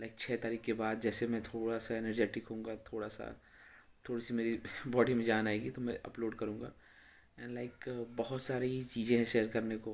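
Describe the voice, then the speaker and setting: A man talks at a moderate pace in a medium pitch, his intonation monotone and flat. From India, Uttar Pradesh. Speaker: bodybuilder and former powerlifter; bodybuilder vlogger. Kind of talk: casual vlog talk to camera. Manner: hesitant, filler-heavy. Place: home room. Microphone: phone near.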